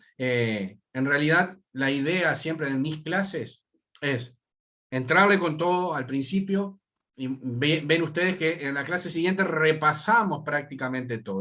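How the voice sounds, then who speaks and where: A man speaks at a fairly slow pace in a bright, sharp tone, his pitch fairly high with ordinary variation. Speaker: university lecturer. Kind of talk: lecture.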